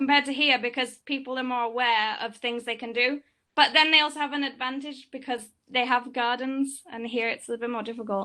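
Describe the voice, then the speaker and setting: Against a quiet background, a woman with an English accent speaks at a fairly quick pace and a high pitch. Her tone is bright and sharp, her intonation fairly even. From England. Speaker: student in audience. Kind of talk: Q&A discussion. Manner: fast.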